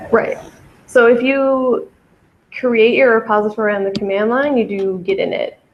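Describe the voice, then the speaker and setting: A woman speaks at a moderate pace with ordinary pitch variation and long, frequent pauses. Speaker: coding workshop instructor. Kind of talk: live coding tutorial.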